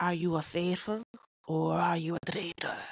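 A put-on character voice with a raspy edge and a middle pitch. It moves at a moderate pace. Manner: attempt at a Scottish accent.

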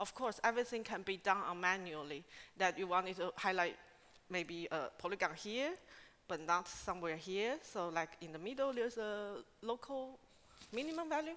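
A woman's bright, sharp tone with very wide pitch swings, at a moderate pace. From Taiwan. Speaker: scientific associate, researcher; conference presenter. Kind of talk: conference talk. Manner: halting, with many fillers. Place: hall. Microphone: podium.

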